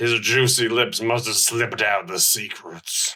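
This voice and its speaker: Using a put-on character voice, a man speaks raspily at a medium pitch and a moderate pace. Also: ordinary pitch variation. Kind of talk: comic overacting. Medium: audio drama. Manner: stiff, oddly formal.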